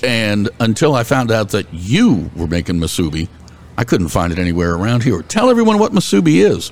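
Using a plain, everyday voice, a man talks at a fairly quick pace with a fairly low pitch and lively intonation. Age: 50s. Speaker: podcast host. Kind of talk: casual chat.

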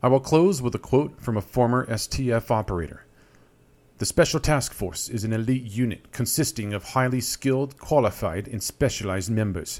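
On a very clean recording with a silent background, a man with a normal speaking voice talks at a moderate pace, at medium pitch with ordinary pitch variation. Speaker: podcast host. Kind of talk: scripted narration.

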